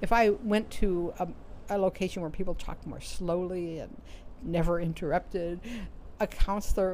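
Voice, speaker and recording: Fairly low female voice with a dark, mellow tone and fairly even intonation. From New York. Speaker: author and career coach. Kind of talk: advice talk to camera. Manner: fast.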